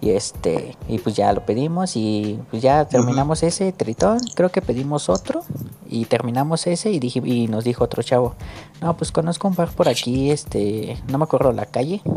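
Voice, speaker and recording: This is an ordinary speaking voice from a man talking at a moderate pace. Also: medium pitch for a man, lively intonation. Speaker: podcast host. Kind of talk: casual chat.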